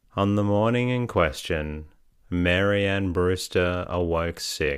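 On a very clean recording with a silent background, a man with a very deep, low pitch speaks at a very slow pace in a soothing, calm tone with fairly even intonation. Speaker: sleep podcast narrator. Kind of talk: bedtime story reading aloud. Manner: slow, soothing, calm.

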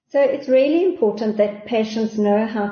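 A woman talks in an ordinary speaking voice. Her pitch sits fairly high. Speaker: doctor. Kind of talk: interview.

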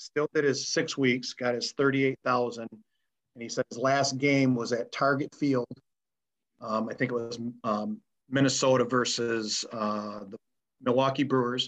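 A man with an ordinary speaking voice talks at a medium pitch and a fairly slow pace. His intonation is fairly even, and the sound is dry and close with no echo. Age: 50s. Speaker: umpire. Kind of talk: interview.

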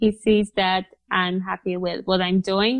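Over a quiet background, a woman with a Polish accent speaks at a fairly slow pace. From Poland, small mountain town. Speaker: professional cyclist. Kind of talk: interview.

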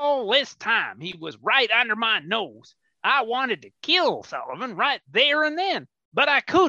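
A man speaks in a raised, projected voice at an extremely high pitch, moving at a moderate pace with very wide pitch swings and big swings in loudness, the sound dry and close with no echo against a quiet background. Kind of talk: comic western radio play. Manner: dry, sardonic.

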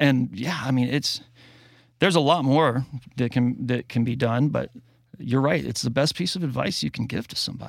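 A man's medium-pitched voice with vocal fry, ordinary pitch variation and a moderate pace, on a very clean recording with a silent background. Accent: American. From US South. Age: 40s. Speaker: mastering engineer and musician. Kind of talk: casual interview. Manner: halting.

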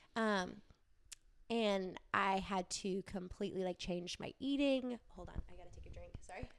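With an American accent and a plain, everyday voice, a woman speaks at a moderate pace, her pitch varying in an ordinary way and her loudness swinging widely. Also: medium pitch for a woman. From Wisconsin. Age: 30s. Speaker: entrepreneur and graphic designer. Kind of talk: casual chat. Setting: her home.

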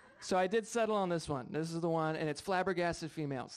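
A man's animated tone at a very fast pace, with ordinary pitch variation. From Rhode Island, US. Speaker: stand-up comedian. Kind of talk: stand-up comedy set with crude, bawdy storytelling. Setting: stage with audience. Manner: animated, punchy storyteller; brash, self-mocking, conversational.

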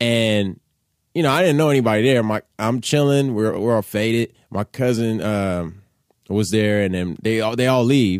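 At a moderate pace, a man with an American accent speaks in a normal speaking voice at medium pitch, with ordinary pitch variation. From Los Angeles, Koreatown. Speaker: comedian and rapper. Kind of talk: casual chat.

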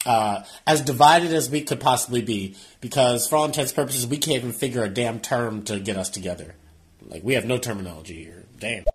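Somewhat breathy and very fast, the voice swings widely in loudness and has lively intonation. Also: man, medium pitch for a man. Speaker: podcast guest or caller. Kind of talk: casual chat.

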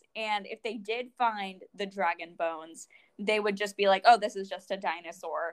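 A woman with an ordinary speaking voice, medium pitch, moderate pace and fairly even intonation, in a dry, close sound with no echo. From Florida. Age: 20s. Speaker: podcast host. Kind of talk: casual chat.

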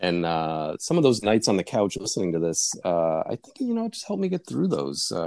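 The speaker talks at a fairly quick pace with hardly any pauses. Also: man. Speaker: guest co-host. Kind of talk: casual chat.

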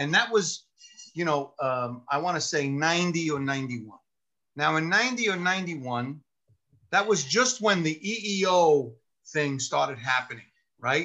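With a New York accent, a man speaks in a bright, sharp tone at a fairly high pitch. His pace is moderate, broken by long, frequent pauses. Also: lively intonation. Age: 50s. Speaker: retired police sergeant turned lawyer. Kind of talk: casual chat. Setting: video call.

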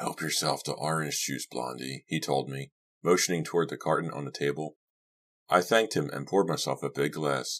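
A man with a very deep, low voice and vocal fry speaks in an excited tone at a moderate pace. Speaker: audiobook narrator. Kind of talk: audiobook narration of a horror story, read aloud. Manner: acts out characters in dialogue, with excited tones for Doug and gruff warnings for Lou.

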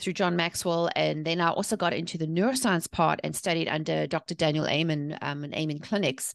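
A woman with a South African accent, in a dry, close sound with no echo against a quiet background. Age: 40s. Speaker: author and mindset coach. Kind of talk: podcast interview.

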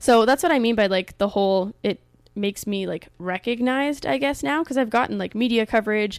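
A woman with a Canadian accent and an unremarkable speaking voice talks at a fairly quick pace with ordinary pitch variation. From Canada. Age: 20s. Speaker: entrepreneur. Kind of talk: casual interview.

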